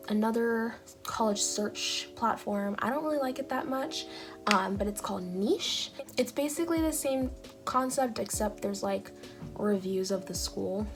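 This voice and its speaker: A woman's voice moves at a moderate pace while music plays behind it. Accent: Californian. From Long Beach, California. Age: young. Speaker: YouTuber giving college admissions advice. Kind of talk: casual talk to camera.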